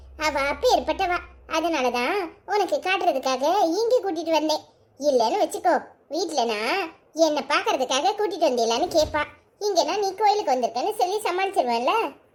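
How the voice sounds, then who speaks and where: A woman uses a cartoonish character voice with an extremely high pitch. Her loudness stays very even at a moderate pace. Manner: sly, sarcastic.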